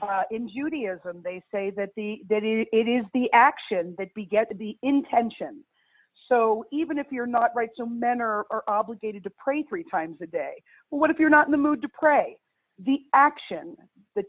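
An ordinary speaking voice from a woman, fairly high in pitch, with lively intonation at a moderate pace. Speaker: survivor's grandchild. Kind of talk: casual chat.

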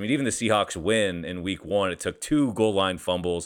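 With an American accent, a man talks at a fairly quick pace in a plain, everyday voice with ordinary pitch variation, on a very clean recording with a silent background. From Seattle area, US Pacific Northwest. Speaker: sports betting analyst, former beat reporter. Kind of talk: casual sports analysis chat.

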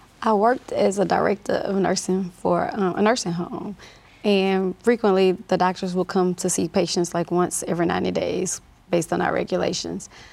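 A woman's voice with vocal fry and fairly even intonation, in a Southern US accent. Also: medium pitch for a woman, moderate pace. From US South, north Louisiana (Monroe). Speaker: nurse and clinic owner. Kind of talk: interview.

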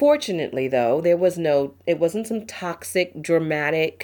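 Against a silent background on a very clean recording, a woman in a normal speaking voice talks at a moderate pace with a fairly low pitch and lively intonation. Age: 40s. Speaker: podcast host. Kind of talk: casual solo talk.

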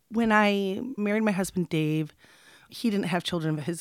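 With ordinary pitch variation and a moderate pace, a plain, everyday voice comes through in a dry, close sound with no echo on a very clean recording with a silent background. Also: woman. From Michigan, US (Midland area). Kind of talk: interview.

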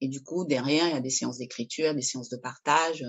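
This woman has a very deep, low pitch. Her pitch variation is ordinary. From Peru, moved to France at 10. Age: 50s. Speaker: artist and art therapist. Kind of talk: casual chat.

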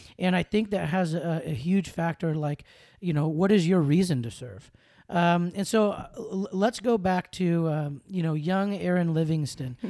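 Recorded very cleanly against a silent background, a voice speaks at a moderate pace in an American accent. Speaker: podcast host; school activities director. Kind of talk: casual interview chat.

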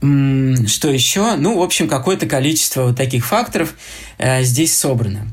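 A man's lively intonation at a fairly slow pace, with audible room echo and noticeable background noise. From Moscow, Russia. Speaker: architecture critic and lecturer. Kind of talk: lecture. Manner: halting, many filler sounds.

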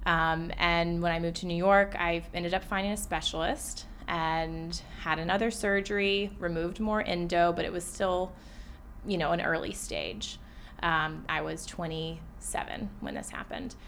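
A woman with an American accent speaks at a fairly slow pace, with audible room echo. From US South, Atlanta. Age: 20s. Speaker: therapist and patient sharing her story. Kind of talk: casual interview.

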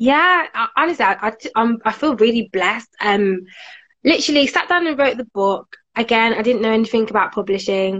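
A woman with a Birmingham accent speaks at a moderate pace. Her pitch is fairly high and her intonation lively. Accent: Birmingham, fairly strong. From Birmingham, England. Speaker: author and career coach. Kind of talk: casual interview chat.

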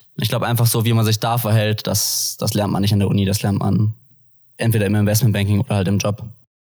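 A man talks very fast at a fairly low pitch, somewhat breathy, with monotone, flat intonation and very even loudness. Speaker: business student and former banker. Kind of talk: podcast interview. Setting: studio, sitting opposite the host.

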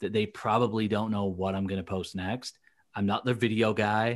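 Against a quiet background, a man with a fairly low pitch speaks at a moderate pace with ordinary pitch variation in a normal speaking voice. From England, moved to US in 2000. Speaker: LinkedIn content coach for recruiters. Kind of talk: casual interview chat. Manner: many fillers and restarts.

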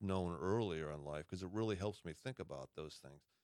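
A man talks with an American accent at a fairly quick pace. His intonation is lively, and it is a plain, everyday voice. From Massachusetts. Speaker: retired army officer and leadership coach. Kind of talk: casual chat.

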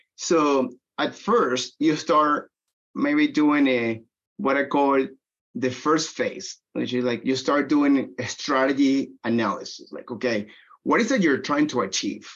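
With a Spanish accent, the speaker goes at a fairly slow pace and uses ordinary pitch variation. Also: man, fairly high pitch for a man. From Venezuela. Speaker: technology business development executive. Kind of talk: interview.

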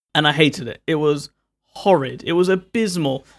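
In a London accent, a man speaks at a moderate pace with ordinary pitch variation. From London, England. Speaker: tech reviewer. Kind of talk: casual chat.

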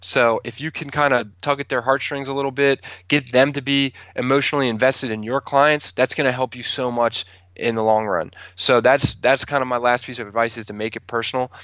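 A man with an American accent speaks at a medium pitch and a fairly quick pace, in an ordinary speaking voice. His intonation stays fairly even. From Maryland, Calvert County. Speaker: realtor. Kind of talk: casual interview.

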